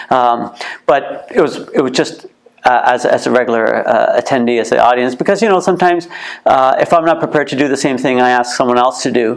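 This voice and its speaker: Speaking at a fairly quick pace with a Canadian accent, a man is heard over noticeable background noise. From Canada, Ontario (Kitchener area). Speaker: museum co-founder and former boxer. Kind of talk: interview. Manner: halting, many fillers and repeats.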